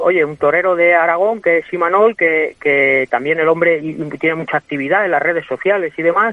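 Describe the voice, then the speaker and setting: At a moderate pace and with hardly any pauses, a man speaks in a high pitch over noticeable background noise. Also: ordinary pitch variation. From Spain, Guadalajara. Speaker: bullfighter. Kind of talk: interview. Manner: halting.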